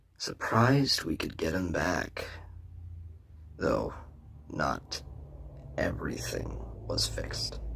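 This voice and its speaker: A man speaks in a put-on character voice, very deep and low, at a fairly slow pace with long, frequent pauses over clear background noise. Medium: audio drama. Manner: smug, gloating.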